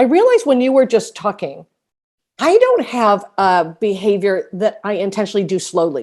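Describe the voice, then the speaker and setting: A woman with a medium pitch and a plain, everyday voice at a moderate pace, against a quiet background. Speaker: dog trainer. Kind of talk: casual chat.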